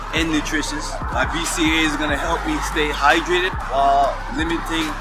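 A man is speaking with music in the background. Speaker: fitness trainer. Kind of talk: casual vlog chat. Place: open country.

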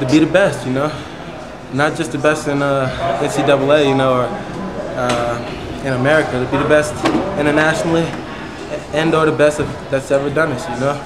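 Over loud background noise, the speaker moves at a fairly quick pace with long, frequent pauses. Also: man. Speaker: wrestler. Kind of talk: interview answer. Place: gym. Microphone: phone near.

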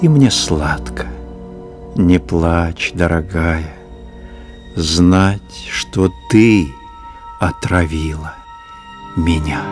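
Over music in the background, a man with a very deep, low voice speaks at a very slow pace with long, frequent pauses and ordinary pitch variation. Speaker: actor. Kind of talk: poetry reading.

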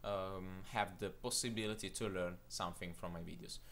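In an Italian accent, the speaker has a bright, sharp tone. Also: man. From Italy. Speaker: video tutorial creator. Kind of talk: tutorial channel announcement. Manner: halting, hesitant with fillers.

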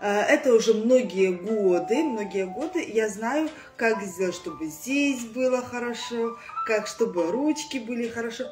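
Against clear music in the background, a woman talks at a fairly slow pace with big swings in loudness. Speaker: fitness instructor. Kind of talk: casual vlog chat. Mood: cheerful, playful. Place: home room. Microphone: phone near.

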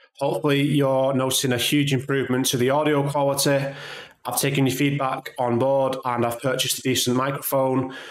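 Audible room echo surrounds a man speaking fairly quickly in a monotone, flat intonation, with a quiet background. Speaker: tech channel host. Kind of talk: tutorial.

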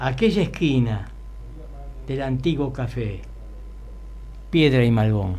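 A man speaks at a very slow pace, leaving long, frequent pauses. Light background noise is present. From Buenos Aires, Argentina; Argentina. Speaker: poet. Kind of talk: poetry reading. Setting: studio. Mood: nostalgic, storytelling. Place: studio. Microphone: studio mic.

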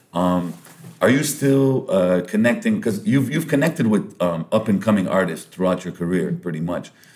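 A man talks at a moderate pace in a fairly low voice with very wide pitch swings. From Lebanon. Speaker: podcast host and MC; podcast host, MC. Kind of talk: casual interview chat. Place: meeting room. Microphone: studio mic.

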